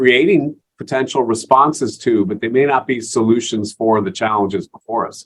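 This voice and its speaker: A man speaks with an American accent at a medium pitch. His pace is moderate and his pitch varies in an ordinary way. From US Northeast. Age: 60s. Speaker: impact investing executive. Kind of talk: podcast interview. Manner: halting, many fillers.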